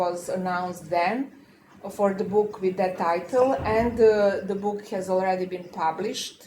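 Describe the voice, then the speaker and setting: A woman with a non-native accent speaks at a medium pitch. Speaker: law professor and panel moderator. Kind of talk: round table discussion. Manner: halting, many filler sounds.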